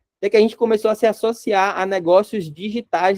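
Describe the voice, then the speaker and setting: The speaker has a Rio Grande do Norte accent. The pace is fairly quick. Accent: northeastern Brazilian (potiguar), noticeable. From Northeast Brazil, Natal, Rio Grande do Norte. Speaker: company CEO teaching a business course. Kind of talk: online course lecture. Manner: casual, conversational.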